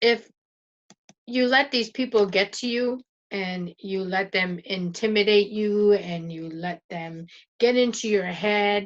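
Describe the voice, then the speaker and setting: A woman speaks with a French Canadian accent at a medium pitch. Her intonation stays fairly even. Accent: French-sounding Canadian. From Northern Ontario, Canada. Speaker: YouTuber, internet marketer. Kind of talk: casual motivational vlog talk. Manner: stumbles, repeats words, says 'and' a lot.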